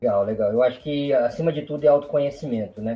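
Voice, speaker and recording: The man's voice sits at a fairly high pitch and carries a dark, mellow tone. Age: 30s. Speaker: occupational safety engineer. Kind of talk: casual interview.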